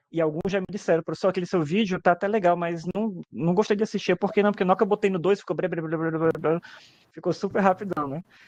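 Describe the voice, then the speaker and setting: In a dry, close sound with no echo, a man with a high pitch speaks at a very fast pace with fairly even intonation. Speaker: teacher. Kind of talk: webinar interview. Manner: casual, hesitant repetitions.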